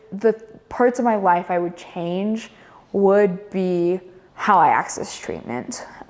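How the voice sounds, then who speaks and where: Amid noticeable background noise, a woman with an American accent talks in a fairly low pitch with ordinary pitch variation. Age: 20s. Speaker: college student. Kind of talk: interview answer. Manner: hesitant, many filler words.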